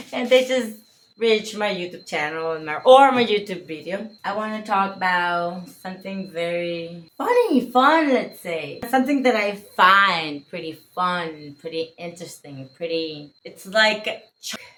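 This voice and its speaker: A woman with a Mexican accent speaks fairly slowly at a medium pitch. Her intonation is lively, and her loudness swings widely. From Mexico. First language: Spanish. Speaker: vlogger. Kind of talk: casual chat. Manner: halting.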